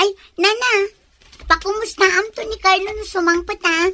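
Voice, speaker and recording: A woman's squeaky put-on character voice, extremely high in pitch, at a moderate pace with fairly even intonation. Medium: audio drama. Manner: inquisitive.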